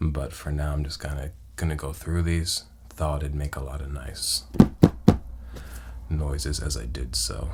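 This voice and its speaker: Soft-spoken and very deep in pitch, a man talks at a fairly slow pace with fairly even intonation and long, frequent pauses, over noticeable background noise. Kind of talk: ASMR soft-spoken talk to camera.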